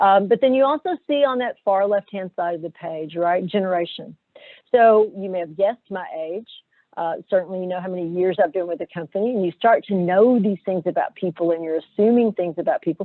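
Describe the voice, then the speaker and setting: With a Southern US accent, a woman talks at a fairly quick pace. Her pitch is medium and varies in an ordinary way. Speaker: corporate HR director, webinar presenter. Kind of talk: webinar presentation. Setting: video webinar.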